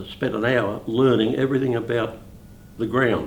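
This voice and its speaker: A man with an Australian accent at a fairly slow pace, with audible room echo. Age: 80s+. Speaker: bowls club life member. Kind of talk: interview.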